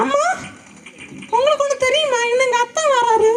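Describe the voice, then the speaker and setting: A woman performs a put-on character voice at an extremely high pitch. Her pace is moderate. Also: ordinary pitch variation. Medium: stage play. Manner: placating, earnest.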